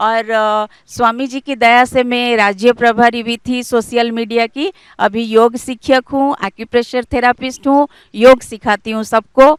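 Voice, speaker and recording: Recorded very cleanly over a silent background, a woman speaks in a high voice with fairly even intonation and a dry, close sound with no echo. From Cuttack, Odisha, India. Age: 40s. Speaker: scientist and yoga teacher. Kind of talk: testimony.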